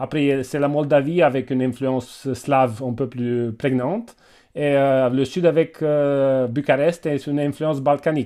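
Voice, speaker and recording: A man speaks with a Romanian accent at a fairly slow pace. His voice is fairly high, with a dark, mellow tone and fairly even intonation. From Romania, Transylvania (Cluj). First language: Romanian (speaking French). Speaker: doctor and university teacher. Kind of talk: webinar discussion. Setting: video call. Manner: halting.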